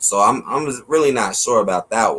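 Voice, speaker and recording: With an American accent, a man in a plain, everyday voice talks at a moderate pace with ordinary pitch variation. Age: 30s. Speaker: livestream talk show host. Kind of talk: casual interview chat.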